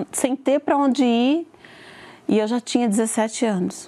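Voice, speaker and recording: A woman's high-pitched voice with a dark, mellow tone. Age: 40s. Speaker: churchgoer giving testimony. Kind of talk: testimony.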